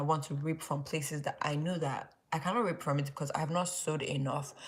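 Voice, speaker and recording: A woman talks at a very fast pace with a very deep, low pitch. Her voice is somewhat breathy, and its pitch varies in an ordinary way. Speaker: YouTuber leading Bible study. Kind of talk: livestream Bible study talk. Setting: live stream late at night. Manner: casual, filler-heavy.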